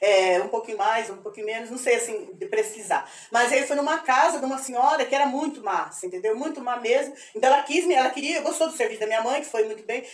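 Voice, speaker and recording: A woman's high voice at a very fast pace. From Brazil, Presidente Prudente region, São Paulo state. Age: 70s. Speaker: retired history teacher. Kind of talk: personal testimony. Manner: halting, with repetitions.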